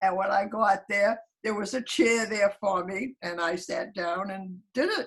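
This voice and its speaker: Her delivery is fairly slow, with ordinary pitch variation. This woman sounds somewhat breathy. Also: medium pitch for a woman. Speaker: elderly blogger. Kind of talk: casual chat. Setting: video call.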